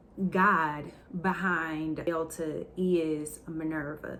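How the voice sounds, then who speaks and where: A woman's fairly low, monotone voice with flat intonation and audible room echo. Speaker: testimony vlogger. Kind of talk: testimony.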